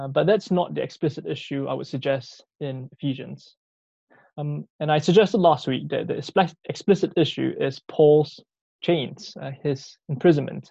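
The voice carries vocal fry and moves at a moderate pace with big swings in loudness, over a quiet background. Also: man, fairly high pitch for a man, ordinary pitch variation. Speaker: lunchtime Bible talk preacher. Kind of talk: sermon. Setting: video call.

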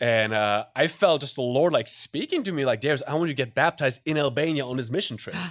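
A man with a German accent speaks at a very fast pace with hardly any pauses, his fairly high voice showing ordinary pitch variation. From Germany. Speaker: missions pastor. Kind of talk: casual chat. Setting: studio.

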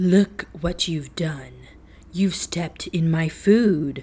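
At a very slow pace, someone performs a put-on character voice at a middle pitch. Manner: furious.

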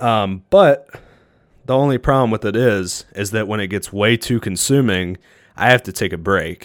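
In a very clean recording with a silent background and a dry, close sound with no echo, a man with an unremarkable speaking voice and a fairly low pitch talks at a moderate pace. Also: ordinary pitch variation. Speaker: podcast host. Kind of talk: casual solo podcast monologue. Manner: relaxed, conversational, filler words.

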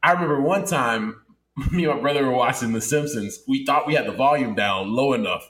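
Animated and fairly quick, a man speaks in a fairly high voice with lively intonation. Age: 20s. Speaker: podcast co-host. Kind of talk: casual chat.

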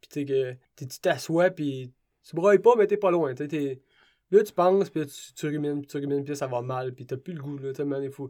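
A man with a Quebec accent talks at a very slow pace in a dark, mellow tone, his fairly high pitch showing ordinary pitch variation and big swings in loudness. The recording is very clean, with a silent background. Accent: Québécois French. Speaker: ultra-trail runner. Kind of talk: interview.

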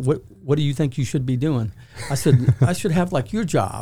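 With a South Carolina accent, a man talks at a fairly quick pace in a dark, mellow, somewhat breathy tone with lively intonation. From Charleston, South Carolina. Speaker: sheriff's office deputy chief. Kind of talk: interview.

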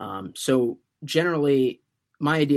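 The recording is very clean, its background silent. In it, a man talks with ordinary pitch variation. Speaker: political commentator, student fellow. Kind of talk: interview. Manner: halting, many fillers.

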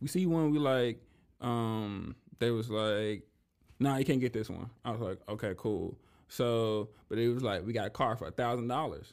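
A man at medium pitch and a moderate pace, with ordinary pitch variation, in a very clean recording with a silent background. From US South, Memphis, Tennessee. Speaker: stand-up comedian. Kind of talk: casual interview.

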